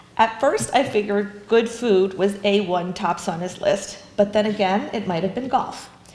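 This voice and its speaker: A woman at medium pitch talks at a moderate pace with hardly any pauses and fairly even intonation, with noticeable background noise behind her. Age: 60s. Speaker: bereaved daughter. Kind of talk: eulogy. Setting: funeral chapel service.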